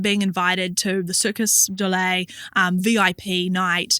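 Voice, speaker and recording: A woman's medium-pitched voice with a New Zealand accent, a bright, sharp tone and a fairly slow pace. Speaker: entrepreneur and actor. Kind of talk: interview.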